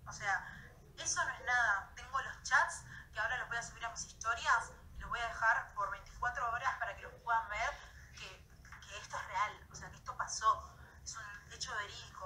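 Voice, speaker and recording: In a Rioplatense accent, a woman speaks at a moderate pace with long, frequent pauses and big swings in loudness. Light background noise is audible. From Argentina. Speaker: social media influencer. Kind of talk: vlog. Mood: upset, defensive. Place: home room. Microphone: phone near.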